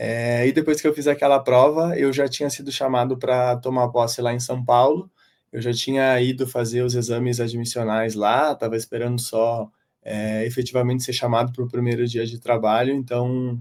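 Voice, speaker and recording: A man speaks in a flat monotone at a moderate pace with a southern Brazilian accent, on a very clean recording with a silent background. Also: medium pitch for a man. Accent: gaúcho. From southern Brazil, Porto Alegre. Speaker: civil engineer, public auditor and exam-prep teacher. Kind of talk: interview.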